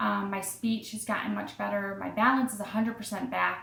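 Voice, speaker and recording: Audible room echo follows a woman at medium pitch who talks at a fairly quick pace with an American accent. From Massachusetts. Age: 30s. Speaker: video blogger with Parkinson's disease. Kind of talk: personal testimony monologue. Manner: hesitant, many fillers.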